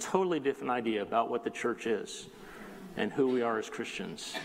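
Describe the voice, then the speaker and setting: With noticeable background noise behind him, a man with an American accent makes very wide pitch swings. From Southern California (South Bay, Los Angeles area). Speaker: lay preacher filling in. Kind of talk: sermon. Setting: church.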